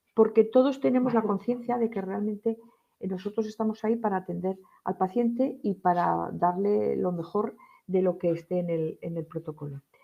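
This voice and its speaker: This is a woman with an unremarkable speaking voice. Her pitch is medium with ordinary variation, and her pace is moderate. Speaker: nurse. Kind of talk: lecture. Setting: live-streamed conference talk.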